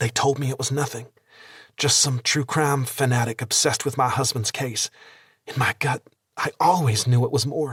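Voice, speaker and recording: A shaky, put-on character voice at a moderate pace, with fairly even intonation and a dry, close sound with no echo. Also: man, medium pitch for a man. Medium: read story. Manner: hesitant, trembling.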